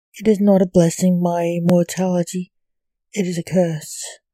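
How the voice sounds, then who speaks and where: Recorded with a dry, close sound and no echo, a woman delivers a dramatic tone in a monotone, flat intonation at a fairly low pitch and fairly slow pace. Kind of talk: poetry reading, dark gothic verse read aloud like a spooky monologue. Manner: slow, brooding, dramatic.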